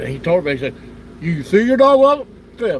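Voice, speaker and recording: A man talks at a fairly quick pace in a high pitch, with very wide pitch swings. Noticeable background noise is present. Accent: American. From Ohio. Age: 70s. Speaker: outdoors channel streamer. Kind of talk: casual chat. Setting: live stream.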